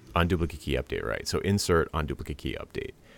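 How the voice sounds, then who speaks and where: A man speaks very fast in a very deep, low voice with vocal fry. His pitch varies in an ordinary way. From US Northeast, Rhode Island. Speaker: podcast host, web developer. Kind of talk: casual tech chat. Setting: Skype call.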